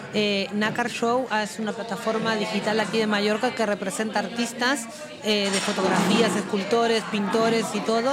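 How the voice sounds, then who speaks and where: A woman's fairly high voice with fairly even intonation at a moderate pace, in audible room echo with noticeable background noise. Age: 30s. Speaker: model. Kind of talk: casual chat.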